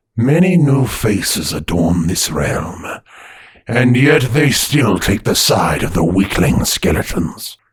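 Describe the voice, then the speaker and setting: Here a man uses a put-on character voice at a medium pitch. He goes at a fairly slow pace. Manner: cold, condescending.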